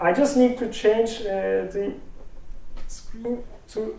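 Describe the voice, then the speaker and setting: A man speaks with a Turkish accent and ordinary pitch variation. The room echo is audible. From Turkey. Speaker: speech recognition researcher. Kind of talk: technical talk with live demo. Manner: halting, many fillers.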